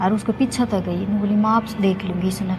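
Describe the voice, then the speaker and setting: Woman with a Haryana accent, amid noticeable background noise. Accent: Haryanvi. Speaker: Haryanvi stage actress. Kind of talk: storytelling interview answer.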